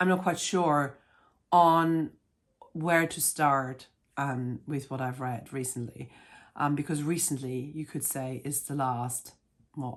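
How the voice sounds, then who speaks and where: Over a silent background on a very clean recording, a woman with a very deep, low pitch talks at a fairly slow pace with ordinary pitch variation. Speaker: book vlogger. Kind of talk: casual vlog chat. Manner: hesitant, many fillers.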